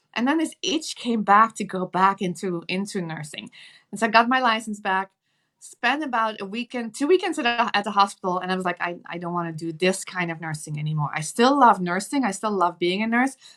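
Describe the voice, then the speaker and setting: A woman with a Dutch accent, medium-pitched and bright, sharp in tone, at a fairly quick pace with lively intonation and big swings in loudness, on a very clean recording with a silent background. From Netherlands. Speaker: nurse and entrepreneur. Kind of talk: interview.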